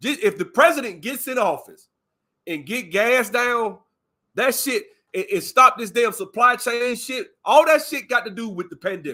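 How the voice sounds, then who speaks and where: A man with an Alabama accent uses a raised, projected voice at an extremely high pitch, with a bright, sharp tone, lively intonation and big swings in loudness. The recording is very clean, with a silent background. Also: moderate pace. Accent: Southern, Alabama country. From US South, Alabama. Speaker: live stream commentator. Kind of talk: casual chat. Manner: animated.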